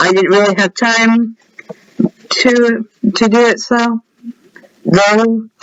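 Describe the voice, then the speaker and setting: A man speaks at an extremely high pitch. His pace is very slow. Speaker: gaming youtuber. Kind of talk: gameplay showcase. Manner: casual.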